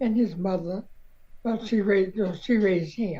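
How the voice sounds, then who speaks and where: A woman's dark, mellow, somewhat breathy voice with an American accent, medium pitch, ordinary pitch variation and a fairly slow pace. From Southern US. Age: 80s+. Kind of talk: interview answer.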